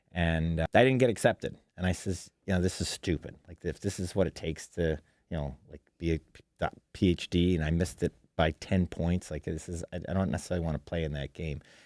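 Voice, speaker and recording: With a slight Western New York accent, a man speaks at a fairly quick pace in a very deep, low pitch, his intonation fairly even and his loudness swinging widely, in a dry, close sound with no echo on a very clean recording with a silent background. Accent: slight Western New York twang. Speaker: shark researcher and marine science teacher. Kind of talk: podcast interview. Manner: casual, with many fillers.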